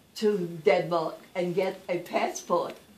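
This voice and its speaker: The pitch moves with ordinary variation. Noticeable background noise sits behind the voice. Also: woman. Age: 80s+. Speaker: retired teacher. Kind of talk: storytelling to schoolchildren.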